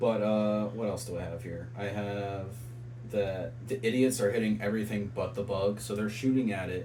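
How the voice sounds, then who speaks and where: A man at fairly low pitch and moderate pace, fairly even intonation, audible room echo and noticeable background noise. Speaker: podcast co-host. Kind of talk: casual chat. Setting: in person with co-host.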